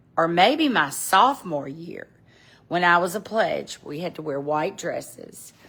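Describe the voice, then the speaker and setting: A woman's bright, sharp tone in a Southern US accent, lively intonation, very clean recording with a silent background. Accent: Southern American. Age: 70s. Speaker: fashion vlogger. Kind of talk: casual chat. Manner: casual, halting.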